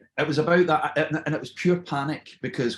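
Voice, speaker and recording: At a moderate pace, a man talks in a Scottish accent. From Scotland, born in Surrey, moved at ten. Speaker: TV presenter. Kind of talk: casual chat.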